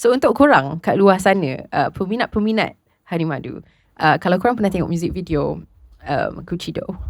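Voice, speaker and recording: Talking at a very fast pace, a woman with a medium pitch and vocal fry uses lively intonation. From Malaysia. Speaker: podcast host. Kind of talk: casual chat. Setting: studio.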